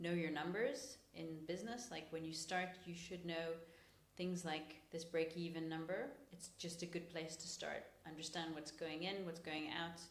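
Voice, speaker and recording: With an American accent, a woman speaks at a moderate pace and a fairly low pitch, using ordinary pitch variation. Noticeable background noise and audible room echo surround her voice. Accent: soft American. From New York, US, then UK. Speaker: podcast co-host, physiotherapist and business owner. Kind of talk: casual podcast conversation.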